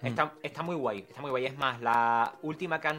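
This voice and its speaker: Fairly even in intonation, a man with a plain, everyday voice talks at a medium pitch and a fairly quick pace. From Andalusia, San Fernando (Cádiz). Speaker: content creator. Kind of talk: casual interview chat.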